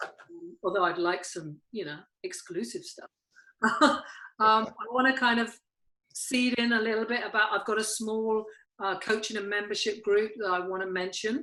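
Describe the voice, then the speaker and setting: A woman with a British accent at a fairly high pitch, a moderate pace, and long, frequent pauses. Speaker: podcast host and life coach. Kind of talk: casual chat. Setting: video call. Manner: halting, many fillers.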